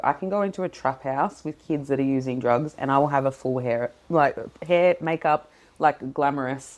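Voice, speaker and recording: At a fairly quick pace, a woman speaks in a very deep, low voice. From Sierra Leone. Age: 40s. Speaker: youth worker and entrepreneur. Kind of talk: interview conversation. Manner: animated.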